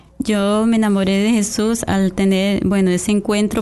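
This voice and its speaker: With a dark, mellow tone at medium pitch, a woman speaks at a moderate pace in a monotone, flat intonation. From Costa Rica. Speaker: lay church coordinator. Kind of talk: radio interview with testimony. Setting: radio studio. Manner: hesitant, many fillers.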